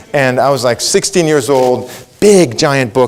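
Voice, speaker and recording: Over noticeable background noise, a man talks in an animated tone at a fairly high pitch. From Israel. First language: Hebrew. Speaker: leadership coach and keynote speaker. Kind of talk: keynote speech.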